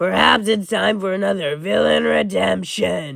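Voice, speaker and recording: This man's voice is raspy. He is doing a put-on character voice. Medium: fan dub.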